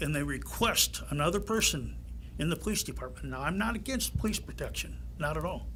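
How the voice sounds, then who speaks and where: Audible room echo hangs around a man's voice. He speaks fairly quickly. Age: 80s+. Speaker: retiree speaking at public comment. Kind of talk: public comment at township meeting.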